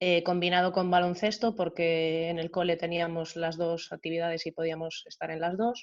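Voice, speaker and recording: This is a woman speaking. Her pitch is fairly low. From Galicia, Spain (born in Venezuela). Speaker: athlete and coach. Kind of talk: video call panel interview.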